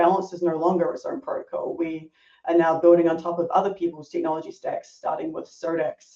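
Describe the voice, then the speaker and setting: A woman talks with a New Zealand accent. Her pace is moderate. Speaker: product designer. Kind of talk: podcast interview.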